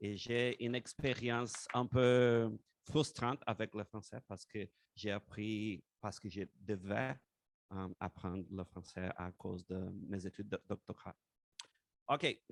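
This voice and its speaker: A man with a fairly low pitch talks at a very slow pace, with ordinary pitch variation. The sound is dry and close with no echo. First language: not French, fourth language learned (speaking French). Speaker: mathematics teacher educator. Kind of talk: panel presentation. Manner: slow, careful French.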